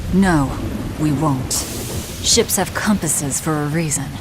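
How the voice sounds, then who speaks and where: A put-on character voice at middle pitch and moderate pace, over loud background noise. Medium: short film. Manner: curt, intense.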